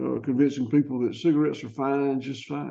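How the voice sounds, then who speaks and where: A man talks with a Southern US accent. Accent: Southern US (Georgia). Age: 70s. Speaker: farmer. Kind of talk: podcast interview. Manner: halting.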